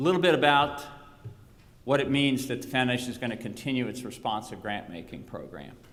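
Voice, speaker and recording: A man's medium-pitched voice at a fairly quick pace, with ordinary pitch variation, audible room echo and noticeable background noise. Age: 60s. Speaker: retiring foundation executive. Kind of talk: farewell conference speech.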